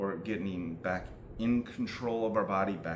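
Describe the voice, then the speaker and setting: Audible room echo, with ordinary pitch variation. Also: man. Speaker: self-help video maker. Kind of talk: monologue explaining mental health techniques. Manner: slow; halting, stuttering.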